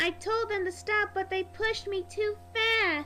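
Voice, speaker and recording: A woman's squeaky put-on character voice over clear background music. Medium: read story. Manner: polite, proper.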